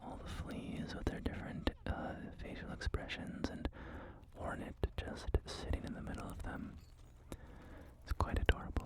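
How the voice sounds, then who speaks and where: Whispering at a moderate pace with long, frequent pauses, the speaker is heard over noticeable background noise. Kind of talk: ASMR gameplay commentary. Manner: whispered.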